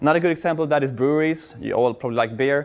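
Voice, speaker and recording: With a Swedish accent, a man speaks at a very fast pace. His pitch sits fairly high and shows ordinary variation. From Sweden. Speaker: software consultant and conference speaker; conference speaker. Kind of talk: conference talk. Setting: stage with audience. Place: hall.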